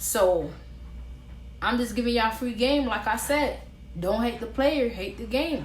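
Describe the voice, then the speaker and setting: A woman's fairly high-pitched voice with an American accent and vocal fry, at a fairly slow pace with long, frequent pauses and audible room echo. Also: ordinary pitch variation. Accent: Floridian and Caribbean. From Florida, Orlando. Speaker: vlogger. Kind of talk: casual advice vlog. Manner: animated.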